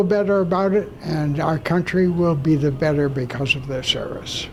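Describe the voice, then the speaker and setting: With music in the background, a man speaks at a fairly slow pace in a high pitch with ordinary pitch variation. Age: 90s. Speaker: retired general. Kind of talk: interview.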